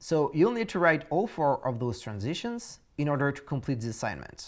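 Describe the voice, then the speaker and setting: A man with a French accent, a fairly high pitch, very wide pitch swings and a moderate pace. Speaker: course instructor. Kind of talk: tutorial. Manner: halting, many fillers.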